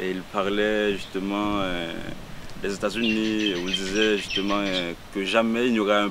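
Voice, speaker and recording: A man's fairly low pitch and monotone, flat intonation at a fairly slow pace, with audible room echo. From Haiti, Port-au-Prince. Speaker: poet. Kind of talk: interview. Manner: halting.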